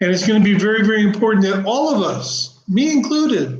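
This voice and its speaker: A man speaks with an American accent and lively intonation. The room echo is audible. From US, Oklahoma. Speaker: spiritual channel host. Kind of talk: live stream monologue. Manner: casual, conversational.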